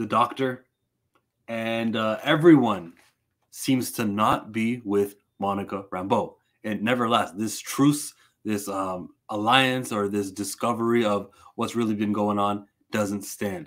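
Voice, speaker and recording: Against a quiet background, a man with a fairly low voice and ordinary pitch variation speaks at a fairly slow pace with long, frequent pauses. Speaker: comic book reviewer. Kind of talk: casual review commentary. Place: home room.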